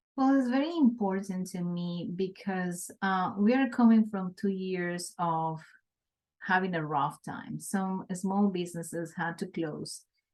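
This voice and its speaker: Speaking fairly slowly with a Colombian accent, a woman uses a medium pitch with ordinary variation. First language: Spanish. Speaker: small business owner, city manager. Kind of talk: interview.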